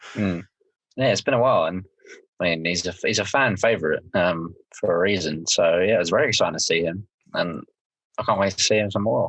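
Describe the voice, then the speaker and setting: With a southern English accent, a man talks at a fairly quick pace, his loudness very even, broken by long, frequent pauses. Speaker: podcast co-host. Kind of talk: casual chat.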